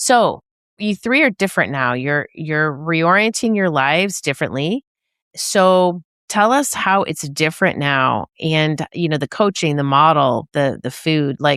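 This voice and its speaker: A woman speaks with a very deep, low pitch. The sound is dry and close with no echo, and the recording is very clean with a silent background. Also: lively intonation. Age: 60s. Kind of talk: interview conversation.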